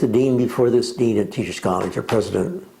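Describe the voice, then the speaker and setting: A man with a medium-pitched voice speaks over noticeable background noise, with audible room echo. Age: 80s+. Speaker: retired professor of education. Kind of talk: interview. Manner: halting.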